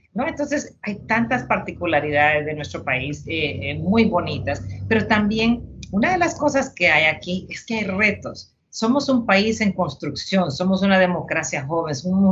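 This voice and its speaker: At a moderate pace with hardly any pauses, a woman with a Honduran accent speaks at a medium pitch and with lively intonation. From Honduras. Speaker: retired army officer. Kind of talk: interview. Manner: halting.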